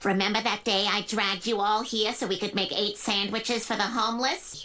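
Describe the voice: A cartoonish character voice, fairly quick and monotone with flat intonation, over light background noise. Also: woman, medium pitch for a woman.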